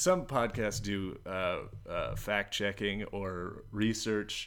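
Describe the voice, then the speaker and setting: Here is a man with an American accent. His pitch sits fairly low. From Washington DC (northwest). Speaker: podcast co-host. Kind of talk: casual comedic chat.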